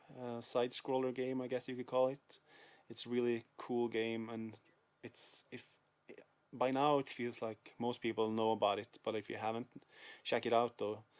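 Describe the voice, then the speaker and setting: A man with a Swedish accent and monotone, flat intonation. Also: medium pitch for a man, moderate pace. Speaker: video game collector vlogger. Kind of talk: casual vlog. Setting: dark room at home. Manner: hesitant, many fillers.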